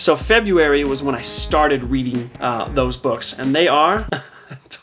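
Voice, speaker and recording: A man speaks with music playing in the background. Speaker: book vlogger. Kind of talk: casual vlog monologue. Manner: fast.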